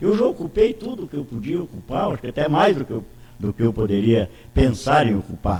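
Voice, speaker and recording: Speaking at a fairly quick pace, a man with a medium-pitched voice makes very wide pitch swings. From Santa Catarina interior, Brazil. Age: 80s+. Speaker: politician. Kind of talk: interview. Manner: halting, many repetitions.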